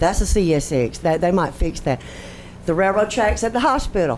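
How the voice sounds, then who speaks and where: A woman speaks in a very deep, low pitch and an animated tone, with audible room echo and noticeable background noise. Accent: Southern US. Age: 60s. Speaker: resident speaking at public comment. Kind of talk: public comment at council meeting. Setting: city council chamber.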